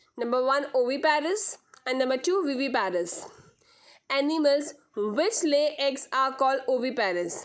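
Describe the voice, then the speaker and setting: Audible room echo surrounds a woman's high voice, which has lively intonation and very even loudness. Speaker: school science teacher. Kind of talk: lecture. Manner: slow; repetitive, halting.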